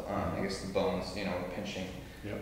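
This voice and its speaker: A man's voice rings with strong room echo over light background noise. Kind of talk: interview answer. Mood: calm, reflective. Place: home room. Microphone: camera far.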